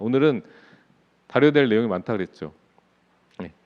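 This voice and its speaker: Lively intonation from a man at a medium pitch. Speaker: pastor. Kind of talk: sermon.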